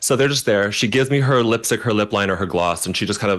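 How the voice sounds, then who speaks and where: A man's very fast speech with fairly even intonation, over a quiet background. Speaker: celebrity makeup artist. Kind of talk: casual interview chat.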